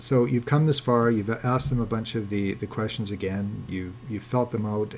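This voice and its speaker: Pitch varies in an ordinary way here. The voice carries some breathiness. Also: man. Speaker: landlord trainer. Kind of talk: webinar lecture. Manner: fast.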